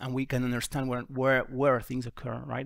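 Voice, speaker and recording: The speaker has an Argentine accent. The recording is very clean, with a silent background. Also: man. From Argentina. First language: Spanish. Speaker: GIS software presenter. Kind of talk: conference talk. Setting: conference workshop with audience.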